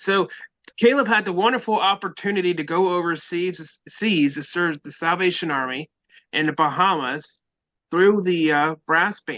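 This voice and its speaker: A man with a slight West Virginia accent speaks at a moderate pace, with a high pitch and a bright, sharp tone. The background is quiet. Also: ordinary pitch variation. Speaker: podcast host. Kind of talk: casual chat.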